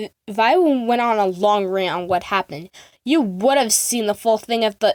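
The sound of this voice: The voice is an unforced reading voice, with ordinary pitch variation. Nothing much is heard behind it.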